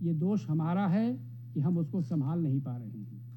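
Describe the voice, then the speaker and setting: A man talks with lively intonation in a fairly high, somewhat breathy voice with a dark, mellow tone. Room echo is audible. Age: 70s. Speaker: professor. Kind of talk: speech.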